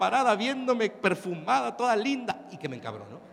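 A man with a Mexican accent, high-pitched and animated, with lively intonation over noticeable background noise. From Mexico. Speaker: motivational speaker. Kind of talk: conference talk. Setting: stage with audience.

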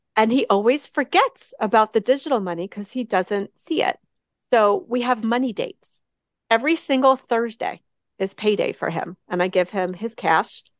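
A woman with a normal speaking voice, fairly high pitch, lively intonation, and a moderate pace, in a dry, close sound with no echo. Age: 50s. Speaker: money coach. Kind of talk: interview.

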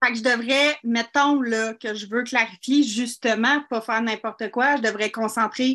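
Her tone is bright and sharp. This woman uses a high pitch and a fairly slow pace. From Quebec (Saint-Jean-sur-Richelieu). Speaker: small business owner seeking advice. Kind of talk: call-in advice conversation.

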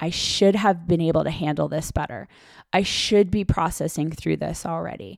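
This woman's voice sits at a fairly low pitch with vocal fry and ordinary pitch variation. She keeps a moderate pace on a very clean recording with a silent background. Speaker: life coach and physician podcast host. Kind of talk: solo podcast talk on wellbeing.

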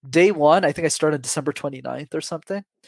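At a very fast pace, a man with a fairly high pitch speaks in a very clean recording with a silent background and a dry, close sound with no echo. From Quebec, Montreal suburbs. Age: 20s. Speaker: public speaking coach. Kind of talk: interview.

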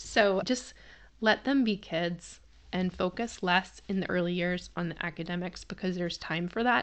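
Against a quiet background, a woman with an American accent speaks at a moderate pace. She has a fairly low pitch, ordinary pitch variation, and an ordinary speaking voice. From Massachusetts. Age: 40s. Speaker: homeschooling parent and podcast host. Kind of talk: personal storytelling monologue.

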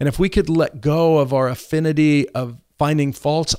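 In a very clean recording with a silent background, a man uses an ordinary speaking voice with a fairly high pitch and fairly even intonation. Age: 60s. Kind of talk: casual chat. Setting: studio.

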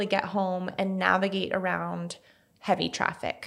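On a very clean recording with a silent background, a woman with a plain, everyday voice speaks at a medium pitch and a moderate pace. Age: 30s. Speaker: podcast host. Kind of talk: casual chat. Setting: studio.

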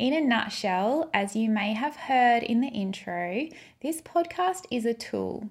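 With an Australian accent, a woman speaks in a somewhat breathy voice and lively intonation. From Queensland, Australia. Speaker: podcast host and brand stylist. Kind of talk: podcast monologue.

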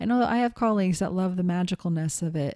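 Recorded very cleanly against a silent background, a woman with an American accent speaks in a dark, mellow tone with ordinary pitch variation, the sound dry and close with no echo. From Montana. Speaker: podcast host and intuitive coach. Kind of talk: solo podcast teaching talk. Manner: casual with many filler words.

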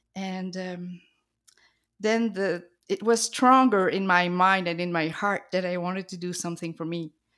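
On a very clean recording with a silent background, a woman speaks at a moderate pace with fairly even intonation and big swings in loudness. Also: medium pitch for a woman. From New Brunswick, Canada (French-speaking). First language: French. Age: 50s. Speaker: artist. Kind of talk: interview.

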